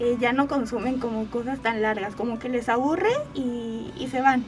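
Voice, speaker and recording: Over noticeable background noise, a woman talks at a high pitch and a moderate pace. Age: 20s. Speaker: podcaster and communication student. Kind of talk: radio interview.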